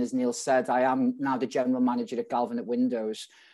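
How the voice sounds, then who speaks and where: Speaking at a fairly quick pace with a strong Scouse accent, a man has a medium pitch, a dark, mellow tone and fairly even intonation. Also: quiet background. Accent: strong Liverpool (Scouse). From Liverpool, England. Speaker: restaurant general manager. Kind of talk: conference talk. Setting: video call. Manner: casual.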